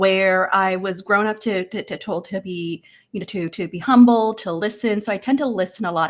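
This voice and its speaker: A woman speaks at a fairly quick pace. Her pitch is medium, with ordinary variation. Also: very clean recording, silent background. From Hong Kong and Canada. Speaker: interview coach. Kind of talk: panel discussion. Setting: virtual live event.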